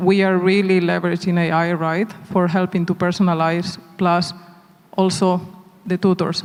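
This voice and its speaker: A man speaks in a high voice with a Spanish accent at a moderate pace. Noticeable background noise runs underneath. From Spain. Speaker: tech company executive. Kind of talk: onstage panel interview. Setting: conference stage.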